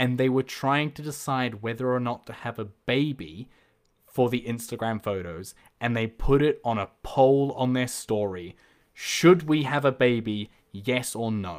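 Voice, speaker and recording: A man with a New Zealand accent is heard on a very clean recording with a silent background. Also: medium pitch for a man, ordinary pitch variation, fairly slow pace. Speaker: podcast host. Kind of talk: casual interview chat.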